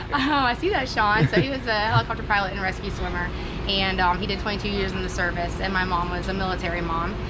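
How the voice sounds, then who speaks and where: A woman at a very fast pace, with audible room echo. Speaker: racing driver and team owner. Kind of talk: casual interview. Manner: casual with fillers.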